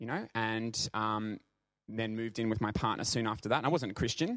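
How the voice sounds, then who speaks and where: Someone with an Australian accent speaks on a very clean recording with a silent background. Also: man. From Brisbane, Australia. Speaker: professional dancer. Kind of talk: church talk / testimony. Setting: church service with congregation. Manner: halting.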